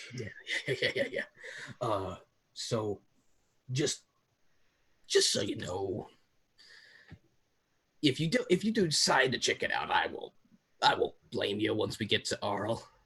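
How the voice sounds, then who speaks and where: A man in a raspy, put-on character voice talks at a moderate pace with long, frequent pauses. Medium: actual play. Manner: hesitant, rambling, filler-heavy.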